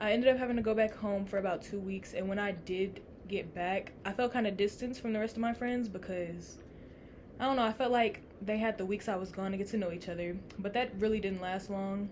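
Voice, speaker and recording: A woman's plain, everyday voice at medium pitch, with fairly even intonation and a fairly quick pace. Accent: American. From Texas. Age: young. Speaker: college student podcast co-host. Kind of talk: casual chat.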